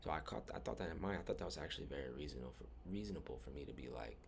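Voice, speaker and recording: With audible room echo, a man talks at a very fast pace with vocal fry. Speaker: spiritual vlogger. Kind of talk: personal storytelling monologue. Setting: rented room at night. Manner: casual, rambling with fillers.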